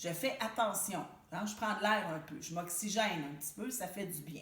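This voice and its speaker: A woman speaks with a Quebec accent and lively intonation. The room echo is audible, and there is noticeable background noise. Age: 60s. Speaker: support group facilitator. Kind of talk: self-help talk to camera. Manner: conversational, informal.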